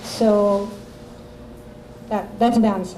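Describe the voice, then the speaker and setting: Speaking in a Russian accent, the voice comes through noticeable background noise and audible room echo. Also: woman. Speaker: author. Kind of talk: interview Q&A. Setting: coffee shop with audience. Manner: halting.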